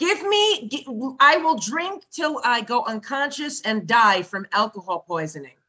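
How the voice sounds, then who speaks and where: A woman's high-pitched voice in an American accent, with very wide pitch swings and a fairly slow pace. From Brooklyn and Connecticut.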